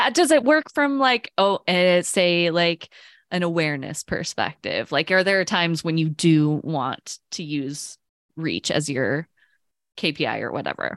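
A woman's plain, everyday voice, fairly low in pitch, with lively intonation at a fairly slow pace, dry and close with no echo, on a very clean recording with a silent background. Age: 30s. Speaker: podcast co-host, project manager. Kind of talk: casual chat.

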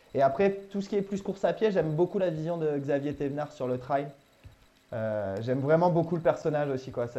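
A man's dark, mellow voice moves with ordinary pitch variation. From Normandy, France. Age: 30s. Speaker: maritime gendarme and amateur runner. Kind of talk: interview. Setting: Skype call.

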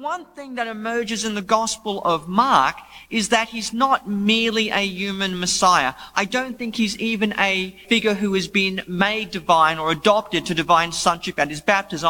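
In a raised, projected voice with a high pitch, a man speaks with an Australian accent. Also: hardly any pauses. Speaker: debate panelist, biblical scholar. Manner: humorous, casual.

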